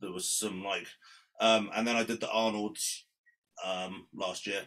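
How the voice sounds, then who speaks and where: A man with a British accent has a fairly low pitch and a bright, sharp tone. He keeps a moderate pace and fairly even intonation. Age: 30s. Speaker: amateur bodybuilder. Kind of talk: casual chat.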